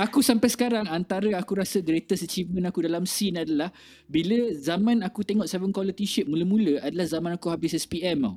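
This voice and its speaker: Pitched high, a man talks at a very fast pace. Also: ordinary pitch variation, dry, close sound with no echo. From Malaysia, born Kelantan, raised partly in Kuching, Sarawak. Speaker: music festival organiser and indie scene figure. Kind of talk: casual interview chat. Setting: live stream.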